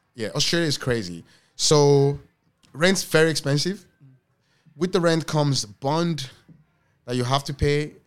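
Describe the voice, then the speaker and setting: A man with a Yoruba accent speaks at a fairly slow pace with long, frequent pauses, on a very clean recording with a silent background. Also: fairly high pitch for a man, ordinary pitch variation. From Lagos, Nigeria. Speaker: restaurant owner. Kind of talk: casual interview conversation.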